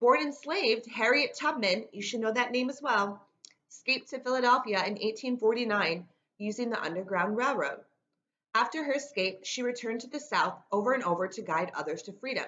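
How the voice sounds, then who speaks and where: An American woman talks at a fairly quick pace with a fairly high pitch and lively intonation. Her loudness swings widely. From New York State, Rochester. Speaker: teacher. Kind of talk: lecture. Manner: fast talker.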